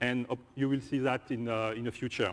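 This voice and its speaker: A man speaks with a French accent at a moderate pace and fairly even intonation. The sound is dry and close, with no echo. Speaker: software engineer presenter. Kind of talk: conference presentation. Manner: halting.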